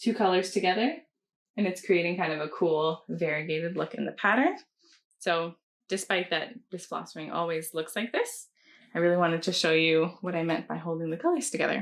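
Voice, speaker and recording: With a Canadian accent, a woman talks at a fairly quick pace in a fairly low pitch with ordinary pitch variation, an ordinary speaking voice. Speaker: cross-stitch pattern designer. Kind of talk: casual chat.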